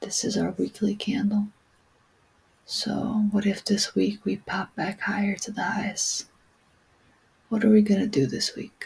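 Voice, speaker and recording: Soft-spoken delivery with long, frequent pauses comes through noticeable background noise. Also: fairly slow pace. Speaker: crypto trader. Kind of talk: chart analysis vlog. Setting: at home, late night.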